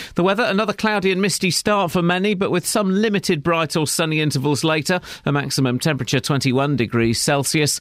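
A man speaks very fast with hardly any pauses, his loudness very even. His pitch is fairly high and his intonation lively. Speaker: newsreader. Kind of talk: news reading. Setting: studio.

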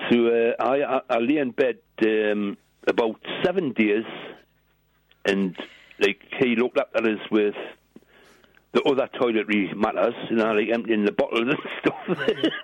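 In a strong British accent, a man talks at a moderate pace with long, frequent pauses and very even loudness. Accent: strong regional British. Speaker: caller. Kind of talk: casual chat. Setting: phone call.

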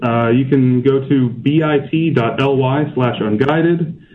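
A man's fairly high pitch stays on fairly even intonation. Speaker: travel vlogger. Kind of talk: interview. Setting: remote call from abroad. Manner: halting.

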